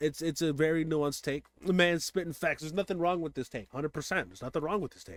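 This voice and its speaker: The speech comes at a very fast pace with hardly any pauses and ordinary pitch variation. The sound is dry and close, with no echo. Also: man, fairly high pitch for a man. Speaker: streamer reacting to videos. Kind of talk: casual reaction commentary. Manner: loud.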